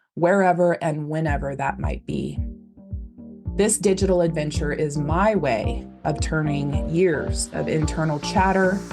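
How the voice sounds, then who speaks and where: A woman talks fairly slowly. Behind her, music is playing. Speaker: podcast host. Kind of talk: podcast intro.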